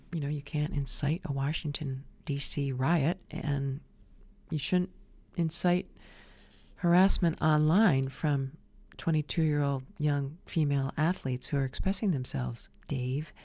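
A woman with a very deep, low pitch and a dark, mellow tone speaks at a fairly slow pace, her somewhat breathy voice carrying fairly even intonation. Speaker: video show host. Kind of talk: opinion monologue, scornful commentary. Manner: pointed, scolding tone, directly addressing targets. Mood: sassy, opinionated. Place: home room. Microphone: studio mic.

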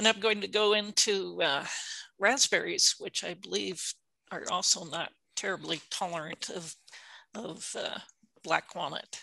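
Recorded dry with no echo and a quiet background, a woman speaks at a moderate pace with a bright, sharp tone, vocal fry and ordinary pitch variation. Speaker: horticulture extension specialist; presenter. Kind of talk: educational webinar presentation. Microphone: video call.

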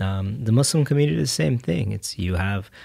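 A man with an American accent, fairly low pitch, lively intonation and a somewhat breathy sound, talking at a fairly quick pace over a quiet background. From Texas, Fort Bend (Houston area). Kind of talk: casual chat. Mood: thoughtful, calm. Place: studio. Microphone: studio mic.

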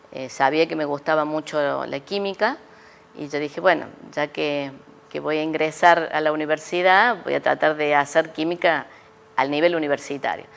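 The woman's pitch is very deep and low. She talks at a moderate pace with fairly even intonation. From Córdoba, Argentina. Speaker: chemistry professor and researcher; chemistry professor. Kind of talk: interview. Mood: calm, reminiscing. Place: studio. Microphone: lapel.

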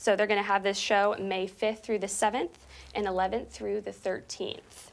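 At a moderate pace, a woman is talking. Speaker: TV host. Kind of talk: news-style event announcements. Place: studio. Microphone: lapel.

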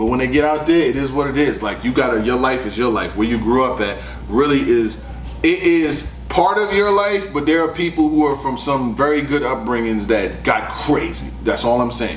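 Lively intonation marks this man's speech at a moderate pace. Light background noise and audible room echo come through. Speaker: battle rap commentator. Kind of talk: casual commentary. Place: studio.

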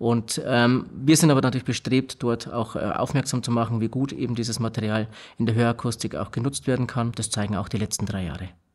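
The background stays quiet. A man talks fairly quickly, his intonation fairly even. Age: 30s. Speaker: hearing technology company technical manager. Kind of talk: interview. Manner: halting, many filler sounds. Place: studio. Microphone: studio mic.

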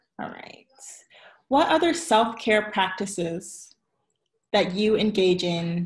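A woman speaks at a very slow pace, somewhat breathy. The background is quiet. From US South, Virginia Beach; Virginia. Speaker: interview host, marketing consultant; interview host. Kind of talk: interview. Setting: live video stream. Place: home room. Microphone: video call.

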